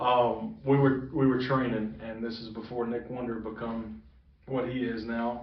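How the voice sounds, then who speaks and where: A man at a medium pitch with fairly even intonation, big swings in loudness and a fairly slow pace, amid noticeable background noise and audible room echo. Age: 20s. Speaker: professional wrestler. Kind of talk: interview.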